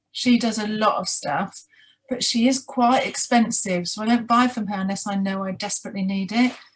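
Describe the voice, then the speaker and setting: At a moderate pace, the speaker talks with a British accent and ordinary pitch variation. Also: woman. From UK. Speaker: sugar glider mentor. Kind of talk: interview.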